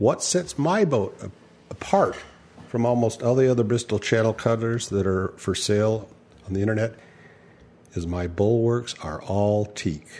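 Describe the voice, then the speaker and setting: A man talks at a fairly low pitch and a moderate pace. It is an unremarkable speaking voice with ordinary pitch variation. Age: 60s. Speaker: podcast host and skipper. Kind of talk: casual interview.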